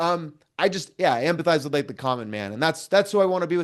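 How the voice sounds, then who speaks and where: A loud man with an American accent, fairly high pitch, very wide pitch swings and a fairly quick pace. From US Pacific Northwest, Vancouver, Washington. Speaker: political commentator. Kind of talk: casual interview chat. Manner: halting, many fillers and restarts.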